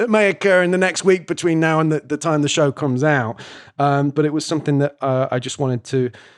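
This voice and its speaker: Very fast delivery in an English accent, with ordinary pitch variation, a quiet background and a dry, close sound with no echo. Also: man, fairly high pitch for a man. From Britain. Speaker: podcast host. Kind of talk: casual chat. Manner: halting.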